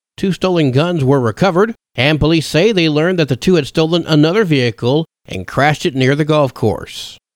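With lively intonation and a fairly high pitch, a man talks at a fairly quick pace in an ordinary speaking voice, captured on a very clean recording with a silent background. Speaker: radio news host. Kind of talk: radio news reading, scripted local bulletin. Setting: radio studio. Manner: formal, steady, brisk newsreader cadence.

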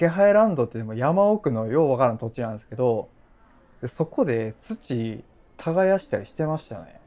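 At a moderate pace, a man speaks with a medium pitch and a dark, mellow tone. His pitch swings very widely and his loudness shifts a lot. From Japan, Kochi. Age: 30s. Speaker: podcast host and blogger. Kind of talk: casual chat.

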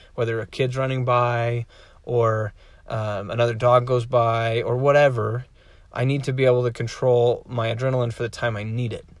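This is a man speaking at a moderate pace. His intonation is monotone and flat. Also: medium pitch for a man. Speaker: dog trainer podcast host. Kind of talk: casual solo podcast tutorial. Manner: filler-heavy, conversational.

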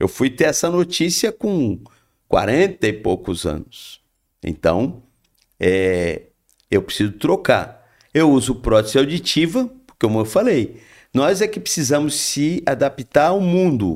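A man talks at a fairly slow pace with vocal fry and very wide pitch swings. The recording is very clean, with a silent background. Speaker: spiritist speaker. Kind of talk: casual chat.

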